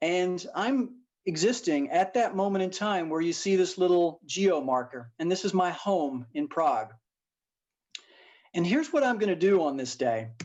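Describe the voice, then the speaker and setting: With an American accent, a high-pitched man talks at a moderate pace, his pitch swinging very widely. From US South, Tennessee. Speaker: keynote speaker, venture investor. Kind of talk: conference keynote talk. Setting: live-streamed event.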